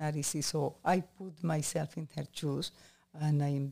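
A woman speaks fairly slowly with vocal fry and a very deep, low pitch, her pitch varying in an ordinary way. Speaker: host's aunt. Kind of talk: casual chat. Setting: in a home.

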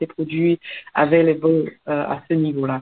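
A woman's very deep, low voice at a very slow pace. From Cameroon. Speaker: entrepreneur and author. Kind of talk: radio interview. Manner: hesitant, many fillers and repetitions.

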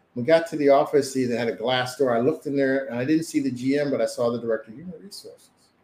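Talking at a very fast pace with hardly any pauses, a man with an American accent has a fairly high pitch, ordinary pitch variation and big swings in loudness. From US Northeast (Camden, New Jersey). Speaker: motivational speaker and sales trainer. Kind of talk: testimony.

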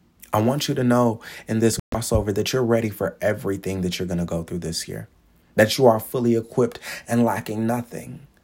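A man's warm-toned voice at medium pitch, fairly quick in pace, with ordinary pitch variation on a very clean recording with a silent background. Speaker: preacher and motivational podcaster. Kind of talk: sermon-style motivational preaching. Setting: podcast recording. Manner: animated, exhorting, call-and-response, repeating phrases for emphasis; warm, encouraging, fervent.

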